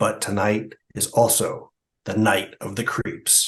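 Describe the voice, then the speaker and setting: This put-on character voice is raspy and moves at a fairly slow pace. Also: man, medium pitch for a man. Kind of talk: announcer. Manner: dramatic.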